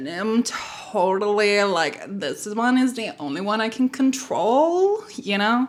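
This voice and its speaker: A woman's put-on character voice, fairly high and drawling, at a fairly slow pace with hardly any pauses, over light background noise. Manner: drawly, upspeaking, caricature.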